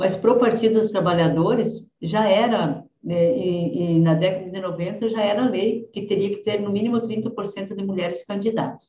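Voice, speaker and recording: A woman with a normal speaking voice, medium pitch, fairly even intonation and a fairly slow pace. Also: hardly any pauses. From southwestern Paraná, Brazil. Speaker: politician. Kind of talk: interview.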